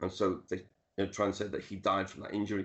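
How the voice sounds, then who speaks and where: A man speaks with a Liverpool accent. His pitch is fairly low. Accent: Liverpool (Scouse). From Liverpool, England (Dingle). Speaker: author and music historian. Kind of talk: interview. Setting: video call.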